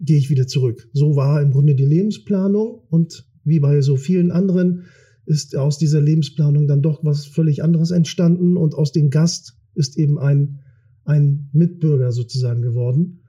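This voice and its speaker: The tone is dark and mellow, somewhat breathy. Loudness stays very even and intonation fairly even. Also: man. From Kiel, northern Germany. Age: 40s. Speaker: politician. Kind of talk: interview. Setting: studio.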